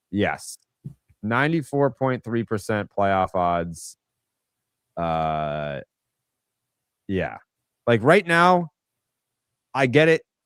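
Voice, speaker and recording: Over a dry, close sound with no echo, a man with an American accent and a medium-pitched voice speaks very slowly, swinging his pitch very widely and leaving long, frequent pauses. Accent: Boston accent, mostly dropped. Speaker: sports podcast host. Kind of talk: casual live-stream chat. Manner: casual, filler-heavy.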